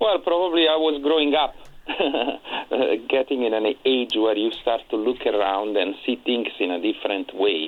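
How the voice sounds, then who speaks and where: With an Italian accent, a man talks at medium pitch and a moderate pace, his intonation lively and his loudness very even. Noticeable background noise is present. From Italy, Naples. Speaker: tenor singer. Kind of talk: radio interview. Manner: halting.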